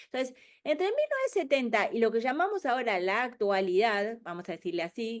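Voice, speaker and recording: A woman's fairly high voice at a fairly quick pace, with very wide pitch swings, over a quiet background. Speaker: webinar speaker on future trends. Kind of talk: webinar presentation. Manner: fast.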